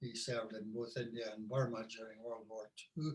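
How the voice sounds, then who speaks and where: A man with a Scottish Borders accent, medium in pitch, fairly slow and monotone in a flat intonation. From Scotland, Scottish Borders (Hawick). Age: 70s. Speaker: musician and tour guide. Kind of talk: interview, life story.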